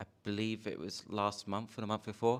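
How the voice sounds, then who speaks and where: A man speaks at a moderate pace with a British accent. The recording is very clean, with a silent background. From United Kingdom. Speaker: audience member asking a question. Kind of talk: conference Q&A question. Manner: halting, many fillers.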